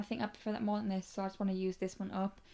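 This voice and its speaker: A soft-spoken woman with a British accent talks at a medium pitch in a flat, monotone way. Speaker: beauty youtuber. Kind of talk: casual vlog chat.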